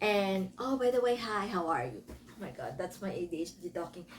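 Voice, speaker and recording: A woman speaks in a Filipino accent at a medium pitch. Her pitch varies in an ordinary way. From Philippines. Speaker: book reviewer. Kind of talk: casual book review. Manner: casual, self-correcting.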